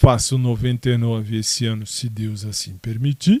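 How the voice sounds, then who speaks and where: A man's dark, mellow tone comes through dry and close, with no echo. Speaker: solo podcaster. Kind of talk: casual monologue. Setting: at home in his bedroom. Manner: hesitant, many fillers.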